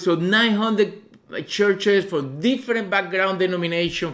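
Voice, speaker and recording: He speaks in a Cuban accent, his voice pitched high for a man. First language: Spanish. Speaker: visiting missionary preacher. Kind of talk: sermon testimony. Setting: church. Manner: halting, many fillers.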